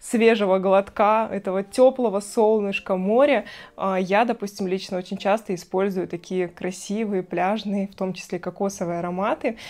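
Delivery proceeds at a moderate pace. The intonation is fairly even. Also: woman. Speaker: perfume blogger. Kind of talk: product review vlog. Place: home room. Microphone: lapel.

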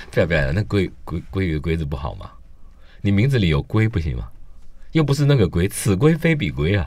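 With vocal fry and a very deep, low pitch, a man talks at a fairly quick pace with very wide pitch swings. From Taiwan. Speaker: food critic. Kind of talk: casual chat. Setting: studio. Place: studio.

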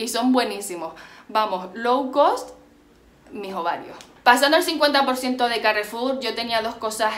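Speaking at a fairly slow pace, a woman uses a fairly high pitch with ordinary pitch variation. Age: 20s. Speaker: beauty and fashion youtuber; fashion youtuber. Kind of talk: haul video monologue. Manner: animated. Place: home room. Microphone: phone near.

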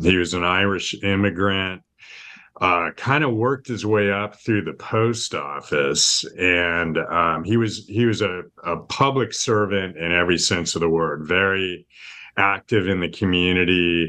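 A man speaks with a very deep, low voice and a bright, sharp tone, in a Californian accent. His pace is fairly slow, and his pitch varies in an ordinary way. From California, East Bay. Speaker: state legislator. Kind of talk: interview answers.

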